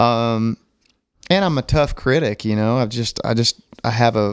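Recorded dry and close with no echo, this man speaks at a fairly low pitch with a Southern US accent. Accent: Southern US (Oklahoma). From Oklahoma. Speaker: country music singer. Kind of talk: casual interview.

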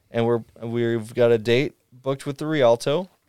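A man with an unremarkable speaking voice talks at a fairly slow pace with ordinary pitch variation. The sound is dry and close, with no echo. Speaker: guitarist. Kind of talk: casual interview.

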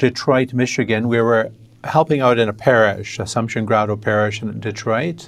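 A man with an American accent and a plain, everyday voice, medium in pitch, at a fairly quick pace. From western New York State, US. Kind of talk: interview.

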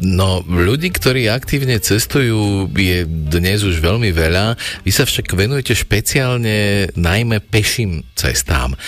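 A man speaks at a very slow pace with a fairly low pitch and lively intonation. His loudness stays very even over noticeable background noise. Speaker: radio host. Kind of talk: radio presenting. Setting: studio.

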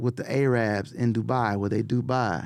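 The speaker is a man with a medium pitch. He talks at a moderate pace. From Los Angeles (Watts, South Central). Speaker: music producer. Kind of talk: casual chat. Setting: studio. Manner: animated.

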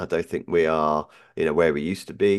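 Against a quiet background, a man speaks very fast in a British accent. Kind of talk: casual chat.

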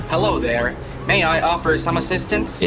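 A man's robotic, put-on character voice at a moderate pace, over loud music in the background. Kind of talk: polite, helpful.

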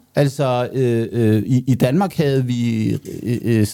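A man talks at a medium pitch with ordinary pitch variation. His tone is dark and mellow. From Denmark. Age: 50s. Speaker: economist, co-host. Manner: halting, repeats words; gets louder when excited.

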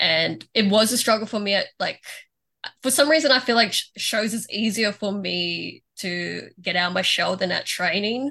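Against a quiet background, a speaker with an Australian accent uses a bright, sharp tone at a moderate pace with ordinary pitch variation. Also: woman, medium pitch for a woman. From Melbourne, Australia. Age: 20s. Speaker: professional wrestler. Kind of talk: casual interview.

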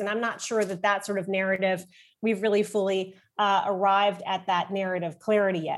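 Recorded very cleanly against a silent background, a woman speaks at a moderate pace with an American accent. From German American, dual citizen. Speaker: foreign policy think tank director. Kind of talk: policy discussion.

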